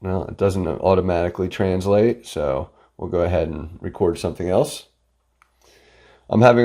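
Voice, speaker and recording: There is a dark, mellow tone to this man's voice. He keeps a moderate pace with ordinary pitch variation. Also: big swings in loudness, very clean recording, silent background. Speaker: product reviewer. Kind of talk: product review tutorial. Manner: casual, filler-heavy.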